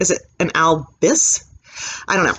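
Light background noise sits under a fairly slow pace of speech. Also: woman. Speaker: thrift reseller. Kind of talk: casual vlog chat. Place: home room. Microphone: webcam.

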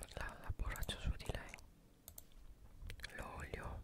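Whispering, a woman speaks at a very slow pace. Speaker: ASMR gameplay creator. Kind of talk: ASMR gameplay whispering. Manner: whispered, soft-spoken. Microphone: studio mic.

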